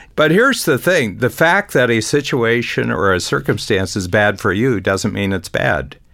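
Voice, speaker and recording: A man's fairly low voice with vocal fry, very wide pitch swings, a moderate pace and hardly any pauses. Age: 70s. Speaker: business coach and founder. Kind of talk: conversational explanation.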